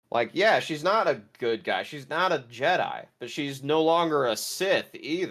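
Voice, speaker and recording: In a very clean recording with a silent background, a man with an ordinary speaking voice and a fairly high pitch talks at a fairly slow pace, with ordinary pitch variation and hardly any pauses. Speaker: pop culture podcast host. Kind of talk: casual review chat.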